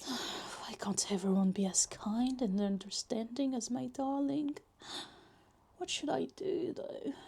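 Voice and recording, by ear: A woman's put-on character voice, fairly high in pitch, with a dark, mellow tone, vocal fry, a slightly husky edge, ordinary pitch variation and a slow pace.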